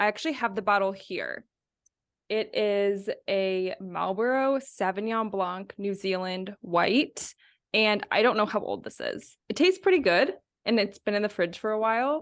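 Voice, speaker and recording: An ordinary speaking voice from a woman at medium pitch. She speaks at a moderate pace. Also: ordinary pitch variation. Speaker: podcast co-host. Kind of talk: casual chat.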